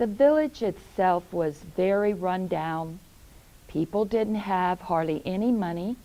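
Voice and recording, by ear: The reading is aloud and natural in tone. Its pitch rises and falls in an ordinary way.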